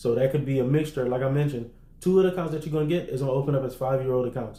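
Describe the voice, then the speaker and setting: A man's medium-pitched, somewhat breathy voice with a dark, mellow tone, very fast pace, fairly even intonation and audible room echo. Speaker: business funding and credit coach. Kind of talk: livestream tutorial to online group. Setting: livestream in online group. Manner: casual, conversational.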